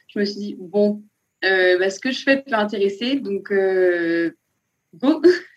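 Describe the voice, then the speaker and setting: Long, frequent pauses in very slow speech, with ordinary pitch variation. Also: woman, medium pitch for a woman. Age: 20s. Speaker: nurse turned self-taught illustrator. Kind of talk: interview. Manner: enthusiastic, with frequent laughs.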